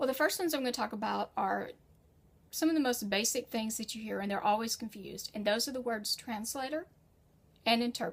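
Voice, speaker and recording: A woman with an American accent and an unremarkable speaking voice, fairly high in pitch and fairly quick, with ordinary pitch variation. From United States. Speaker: freelance writer and educator. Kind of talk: tutorial. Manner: conversational.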